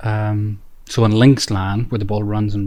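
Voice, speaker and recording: This is a man speaking. He talks in an Irish accent. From Northern Ireland. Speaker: author and local historian. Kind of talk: interview. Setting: hotel by the golf course. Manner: halting with many fillers.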